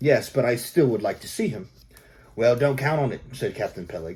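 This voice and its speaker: A man's somewhat breathy voice at a medium pitch, moving at a fairly quick pace. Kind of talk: audiobook narration.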